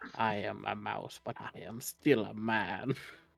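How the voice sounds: A man speaks in a put-on character voice. His pitch is fairly low and his pace fairly slow.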